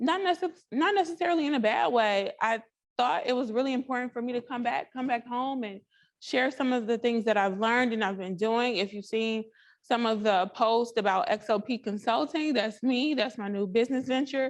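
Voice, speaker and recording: A loud woman's high-pitched voice with lively intonation, against a quiet background. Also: moderate pace. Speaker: development professional and consultant. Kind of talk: panel self-introduction.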